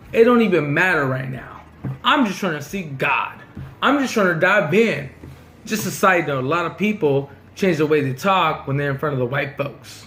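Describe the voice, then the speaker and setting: Loud and animated, a man speaks at a moderate pace with very wide pitch swings. Noticeable background noise and audible room echo surround him. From Southern California, Mexican-American community. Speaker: vlogger. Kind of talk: casual storytelling monologue.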